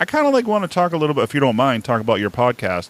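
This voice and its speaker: Someone talks at a very fast pace with a Boston accent. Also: man. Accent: Boston accent, drops R's. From New England, Boston area. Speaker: podcast host, military veteran. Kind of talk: interview. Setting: podcast.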